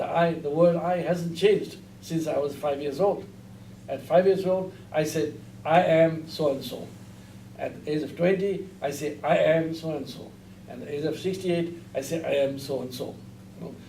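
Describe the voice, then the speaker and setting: A man speaks at a moderate pace with a dark, mellow tone and ordinary pitch variation. Audible room echo is present. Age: 60s. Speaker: Buddhist teacher. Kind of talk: lecture. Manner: halting.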